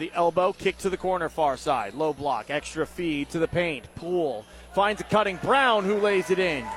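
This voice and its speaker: A man talks at a moderate pace with a high pitch and lively intonation. Noticeable background noise runs beneath him. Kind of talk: live commentary. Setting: radio broadcast at a high school basketball game.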